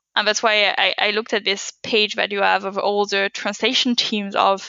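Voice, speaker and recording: At a moderate pace, a woman with a non-native accent speaks at medium pitch in a monotone, flat way. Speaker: data scientist. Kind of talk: podcast interview.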